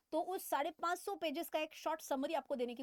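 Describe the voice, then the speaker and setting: A woman with a non-native accent speaks at a moderate pace with ordinary pitch variation. The sound is dry and close, with no echo. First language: not Hindi (speaking Hindi). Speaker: finance educator, chartered accountant. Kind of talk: financial explainer tutorial. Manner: halting with fillers; casual, conversational.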